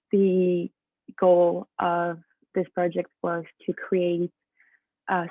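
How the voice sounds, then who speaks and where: A woman speaks with a French accent. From France. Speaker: student athlete. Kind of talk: presentation.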